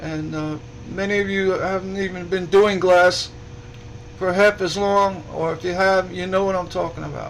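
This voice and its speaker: A man's high-pitched voice at a moderate pace, monotone and flat, with an audible room echo. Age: 60s. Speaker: stained glass artist and group admin. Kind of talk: casual livestream talk. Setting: live broadcast. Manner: halting, many repetitions.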